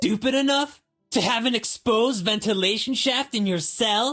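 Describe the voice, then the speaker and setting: A put-on character voice from a man, extremely high-pitched, at a moderate pace with very even loudness and music in the background. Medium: video game. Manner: condescending, sarcastic.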